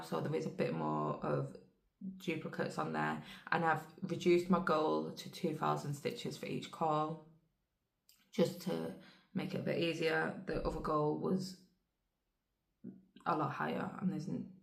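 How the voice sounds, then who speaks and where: A woman talks at a fairly slow pace with long, frequent pauses, and audible room echo surrounds her voice. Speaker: cross-stitch vlogger. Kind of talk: casual chat.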